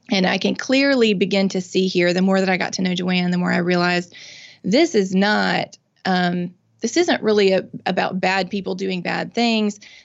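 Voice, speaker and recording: This woman talks with a Mississippi accent. Her intonation stays fairly even. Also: medium pitch for a woman, moderate pace. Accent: Southern US (Mississippi). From US South, Mississippi. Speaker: nonprofit founder and drug policy reform advocate. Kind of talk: interview conversation.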